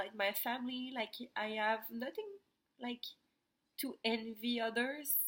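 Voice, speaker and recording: A woman speaks with a high pitch and a bright, sharp tone. Her pace is fairly slow, with long, frequent pauses. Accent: Quebec. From Quebec, Montreal. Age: 20s. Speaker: vlogger. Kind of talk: personal testimony vlog. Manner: halting, many fillers.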